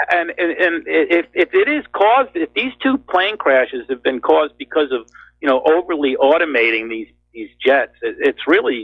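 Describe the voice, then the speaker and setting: His pace is moderate throughout. The speaker, a man, has a New York accent. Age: 50s. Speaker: caller. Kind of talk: call-in talk show.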